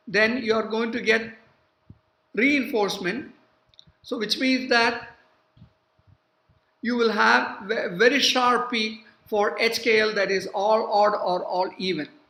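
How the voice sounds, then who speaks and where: At a fairly slow pace, a woman with a fairly high pitch speaks with fairly even intonation and long, frequent pauses, and audible room echo is heard. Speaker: university professor. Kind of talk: lecture. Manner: hesitant, many fillers.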